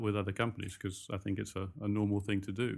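This man speaks with a slight British accent in a fairly low pitch and a flat monotone. The recording is very clean, with a silent background. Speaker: recruitment company founder. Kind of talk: interview, casual chat. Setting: hotel, interview. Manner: conversational, hesitant with fillers.

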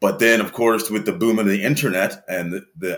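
This is a man with an American accent. His pitch is fairly low. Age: 40s. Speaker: interview guest. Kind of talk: casual interview. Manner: hesitant, many fillers.

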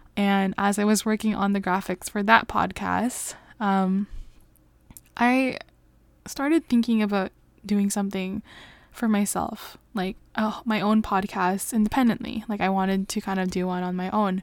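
The speaker has a Canadian accent and fairly even intonation. The pace is moderate. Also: woman, medium pitch for a woman. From Canada. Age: 20s. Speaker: podcast host. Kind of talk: casual chat. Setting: late at night. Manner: frequent laughter.

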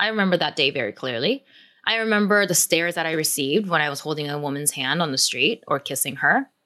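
A woman talks at a very fast pace in a General American accent. Her bright, sharp tone moves through very wide pitch swings. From South Korea, then San Diego. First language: Korean. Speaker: author and activist.

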